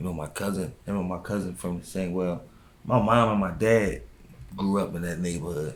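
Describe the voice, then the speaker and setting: Ordinary pitch variation marks a man's very deep, low voice at a moderate pace. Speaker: rapper. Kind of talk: interview.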